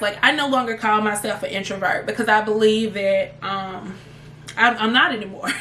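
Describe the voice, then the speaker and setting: A fairly high-pitched woman with a slight Southern US accent, at a moderate pace. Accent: slight Southern country. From US South, Memphis, Tennessee. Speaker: travel vlogger. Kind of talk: casual chat to camera. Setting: home office.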